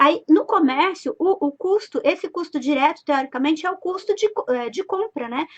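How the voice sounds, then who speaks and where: A woman speaks in a high pitch with lively intonation. Her tone is animated, at a moderate pace. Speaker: business finance consultant. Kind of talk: live stream lesson.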